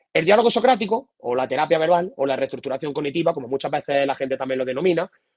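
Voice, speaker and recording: Using an Andalusian accent, a man speaks very fast with lively intonation. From Andalusia, Spain. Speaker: psychotherapist. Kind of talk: lecture.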